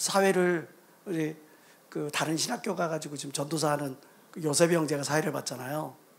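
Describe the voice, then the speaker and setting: Speaking in a Jeolla accent, a man with a fairly high pitch talks at a moderate pace. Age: middle-aged. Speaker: pastor. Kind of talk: sermon. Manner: animated.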